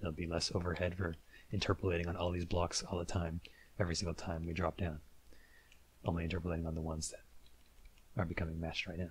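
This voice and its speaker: A man's very deep, low-pitched voice, somewhat breathy. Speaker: game development tutorial creator. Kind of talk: tutorial. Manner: monotone; casual, hesitant with filler words.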